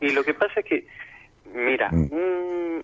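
A man talks with ordinary pitch variation. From Argentina, Córdoba. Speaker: caller. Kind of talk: personal testimony. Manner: halting.

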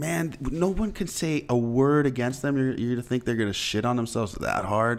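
A man speaks in an ordinary speaking voice at a moderate pace, his medium pitch moving with lively intonation. His loudness stays very even, with hardly any pauses. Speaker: podcast host. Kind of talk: casual chat. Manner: laid-back, joking.

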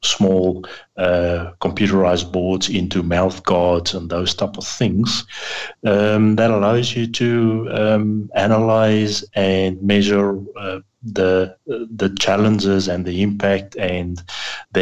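A man with an American accent speaks at a very slow pace in a fairly low pitch, his intonation monotone and flat. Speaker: tech guy on a radio show.

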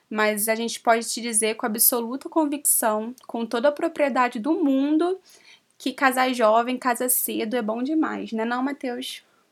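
A woman with a high pitch talks at a fairly slow pace. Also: ordinary pitch variation. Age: 20s. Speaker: podcast co-host, social media influencer. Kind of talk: casual chat.

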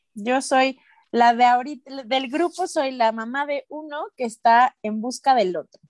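A woman's high voice with a Mexican accent and ordinary pitch variation, in a dry, close sound with no echo. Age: 30s. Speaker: podcast host. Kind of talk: casual chat.

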